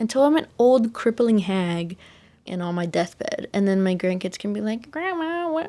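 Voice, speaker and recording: Speaking with a Texan accent at a moderate pace, the voice has a dark, mellow tone and very wide pitch swings. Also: woman, fairly high pitch for a woman. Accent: Texan American English. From Texas. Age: young. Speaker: podcaster. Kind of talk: casual chat.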